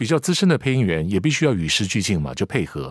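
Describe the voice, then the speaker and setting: A man with a Taiwanese accent speaks with very wide pitch swings, his voice recorded dry and close with no echo. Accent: Taiwanese Mandarin. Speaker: veteran voice actor. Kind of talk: casual chat.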